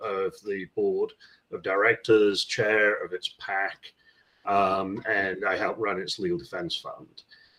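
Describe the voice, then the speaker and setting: Speaking at a fairly slow pace, a man with a fairly low pitch has a bright, sharp tone and ordinary pitch variation. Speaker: landlord, housing association board member. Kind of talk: casual podcast conversation.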